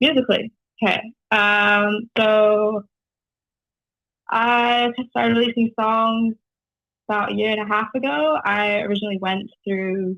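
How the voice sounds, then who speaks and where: A woman with a slight Canadian accent speaks at a fairly slow pace in a fairly high voice, with ordinary pitch variation and long, frequent pauses. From New Zealand, Whangaparaoa; Canada until age 8. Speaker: singer-songwriter. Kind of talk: casual radio interview. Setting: phone call.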